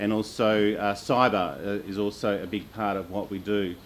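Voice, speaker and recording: A man speaks at a fairly low pitch. His intonation is monotone and flat. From Australia. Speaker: panel moderator. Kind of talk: panel moderation. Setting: conference stage with audience. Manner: many filler uhs, halting.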